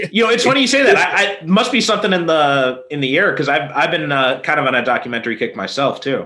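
A man's fairly high voice at a very fast pace, with very wide pitch swings, very even loudness, hardly any pauses and noticeable background noise. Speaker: podcast co-host. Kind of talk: casual chat. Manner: hesitant, with fillers.

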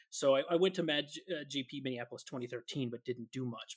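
Fairly even in intonation, a man speaks at a medium pitch and moderate pace, with dry, close sound, no echo, and a very clean recording with a silent background. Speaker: podcast co-host. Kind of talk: casual chat.

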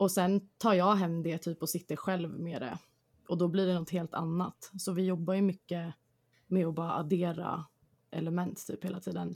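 At a moderate pace, a woman speaks in a fairly low, flat monotone. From Stockholm suburbs, Sweden. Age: 20s. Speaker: band singer. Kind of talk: interview.

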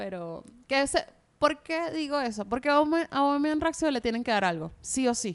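A woman talks at a fairly slow pace, her intonation lively, with a quiet background behind her. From Venezuela. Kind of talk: casual chat.

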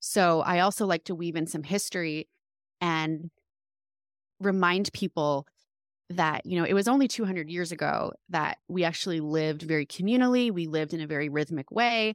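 In a dry, close recording with no echo and a very clean, silent background, a woman speaks at a moderate pace in an ordinary speaking voice, with fairly low pitch and ordinary pitch variation. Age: 30s. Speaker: homeschooling mother and women's guide. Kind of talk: interview.

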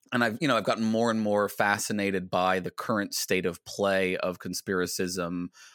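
With an American accent and a normal speaking voice, a man at a fairly low pitch talks at a moderate pace with fairly even intonation, in a very clean, dry, close recording with a silent background and no echo. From US Virginia. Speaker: philosophy podcaster and PhD student. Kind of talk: casual interview chat.

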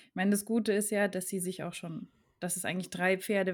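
The voice belongs to a woman, medium in pitch with fairly even intonation. The recording is very clean, with a silent background. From German region bordering France. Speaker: podcast host, horse owner. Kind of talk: casual chat.

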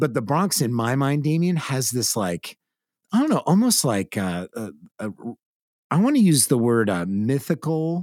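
A man's fairly high voice with an American accent and very wide pitch swings, dry and close with no echo, in a very clean recording with a silent background. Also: moderate pace. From California. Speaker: podcast host. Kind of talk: casual chat.

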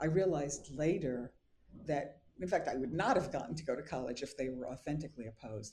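This woman speaks with an American accent and a very deep, low pitch. Her tone is dark and mellow, and somewhat breathy. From New York City, Brooklyn (Bensonhurst). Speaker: professor and author. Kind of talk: interview.

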